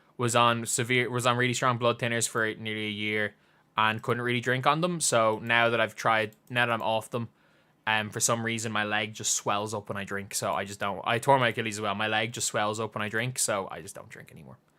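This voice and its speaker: Speaking at a fairly quick pace, a man uses a medium pitch and a bright, sharp tone. The recording is very clean, with a silent background. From Ireland, Dublin. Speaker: basketball YouTuber. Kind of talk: live watch-along stream commentary. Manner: energetic; repetitive.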